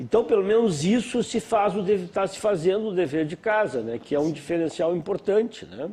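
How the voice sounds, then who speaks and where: Barely pausing at all, a man talks in a high voice with lively intonation. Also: moderate pace. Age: 60s. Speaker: panel guest. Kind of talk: TV panel discussion. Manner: halting.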